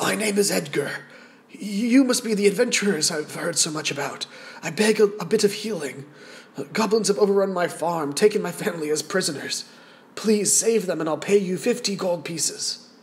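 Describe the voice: Putting on a raspy character voice, a man speaks at a moderate pace, high in pitch with ordinary pitch variation.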